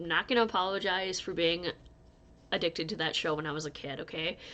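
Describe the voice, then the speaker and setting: A woman speaks at a fairly low pitch with fairly even intonation. Her tone is bright and sharp. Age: 30s. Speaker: crochet youtuber. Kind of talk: casual vlog chat. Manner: rambling, scattered.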